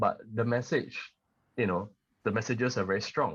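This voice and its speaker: A man's fairly quick, somewhat breathy speech over a quiet background. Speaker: singer-songwriter. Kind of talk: podcast interview.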